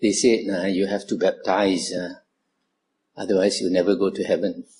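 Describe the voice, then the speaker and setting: A man with a Malaysian accent speaks at a fairly slow pace. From Malaysia, Kuala Lumpur. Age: 70s. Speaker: Buddhist monk. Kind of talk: dharma talk to youth group. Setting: talk to audience. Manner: frequent filler 'uh'.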